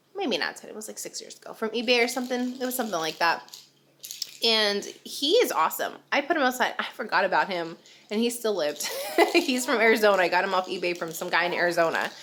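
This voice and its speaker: This woman talks at a very fast pace with a fairly high pitch. Noticeable background noise runs behind her. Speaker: vlogger, military wife and mom. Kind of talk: casual vlog talk to camera. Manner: chatty, filler words.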